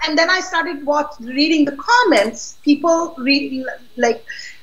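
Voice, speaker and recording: A woman talks in a high voice with lively intonation. Audible room echo surrounds her speech. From Pakistan. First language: not English (Pakistani language). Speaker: political activist. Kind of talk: interview. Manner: outspoken; halting.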